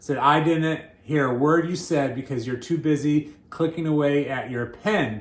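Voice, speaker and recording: A man speaks with a fairly high pitch and ordinary pitch variation. Room echo is audible. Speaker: pastor. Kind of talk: sermon. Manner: halting, repeats words.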